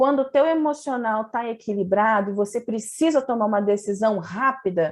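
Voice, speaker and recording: Here is a woman with an unremarkable speaking voice, fairly high in pitch, moving at a moderate pace with ordinary pitch variation. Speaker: integrative therapist and physiotherapist. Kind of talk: online lecture with slides.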